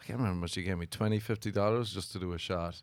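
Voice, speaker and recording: The speaker has an Irish accent, captured in a very clean recording with a silent background. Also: man. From Ireland. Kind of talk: casual chat.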